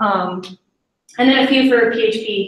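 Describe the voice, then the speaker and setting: A woman speaks with an ordinary speaking voice. Her pitch is fairly high and varies in an ordinary way. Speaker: coding bootcamp graduate presenting a project. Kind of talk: tech presentation.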